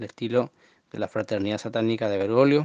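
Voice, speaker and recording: A man with a fairly low pitch talks at a fairly quick pace. The sound is dry and close with no echo, against a quiet background. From Argentina, Formosa. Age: 20s. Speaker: listener sending audio message. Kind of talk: recorded monologue testimony. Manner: halting, many fillers and repetitions.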